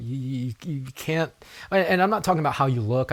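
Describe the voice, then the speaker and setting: Somewhat breathy, a man talks at a fairly quick pace with ordinary pitch variation on a very clean recording with a silent background. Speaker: podcast host and network marketer. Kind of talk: solo podcast monologue. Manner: halting, many repeated words and fillers.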